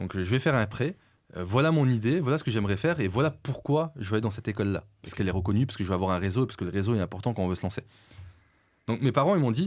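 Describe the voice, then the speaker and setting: At a very fast pace, a man with a medium pitch speaks with lively intonation in a very clean recording with a silent background. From France. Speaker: entrepreneur. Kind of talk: podcast interview. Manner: hesitant, filler-heavy.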